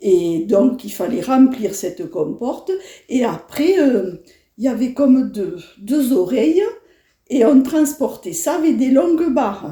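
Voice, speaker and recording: A woman speaks very slowly in a high voice, her pitch swinging very widely. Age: 70s. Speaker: elderly interviewee, former farm girl. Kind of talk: personal reminiscence interview. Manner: hesitant, many fillers.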